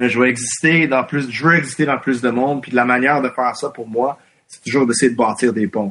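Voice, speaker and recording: Over a quiet background, a man talks at a fairly quick pace and medium pitch, his intonation fairly even but his loudness swinging widely. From Quebec (anglophone community). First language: English (speaking French). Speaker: independent journalist. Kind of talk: interview. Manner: halting.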